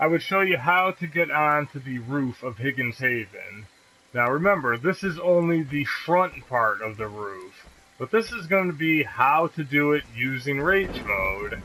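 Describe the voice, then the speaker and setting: Fairly slow, lively speech from a man with a fairly high pitch, over noticeable background noise. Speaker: gaming YouTuber. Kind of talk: gameplay tutorial commentary. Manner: stumbles over words; casual, conversational.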